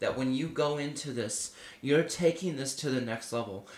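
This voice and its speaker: With audible room echo and noticeable background noise, a man talks at a moderate pace with ordinary pitch variation. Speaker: prophetic minister. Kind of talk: prophetic sermon to camera. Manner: conversational, filler-heavy.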